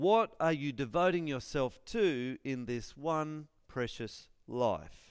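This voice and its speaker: Fairly high-pitched for a man, this man talks at a very slow pace with hardly any pauses and lively intonation, captured in a very clean recording with a silent background. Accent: Australian. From Australia, northern New South Wales. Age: 40s. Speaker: school chaplain and guest preacher. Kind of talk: sermon. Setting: church with congregation.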